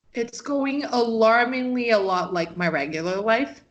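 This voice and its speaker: Someone with a Rio de Janeiro accent speaks at a moderate pace with lively intonation. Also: woman. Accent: Rio de Janeiro Brazilian. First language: Portuguese. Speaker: MMA journalist. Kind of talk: interview. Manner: animated.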